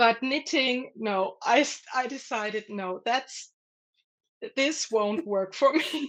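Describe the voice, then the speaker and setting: Very slowly, a woman with a German accent speaks at a high pitch with ordinary pitch variation. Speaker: artist. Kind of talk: interview. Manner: halting.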